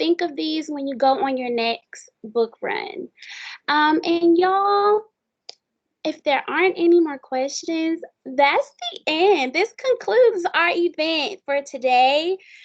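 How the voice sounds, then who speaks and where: Her pitch is extremely high, and her intonation is lively. This woman, with an American accent, speaks at a very slow pace. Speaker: student event moderator. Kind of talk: online panel moderation.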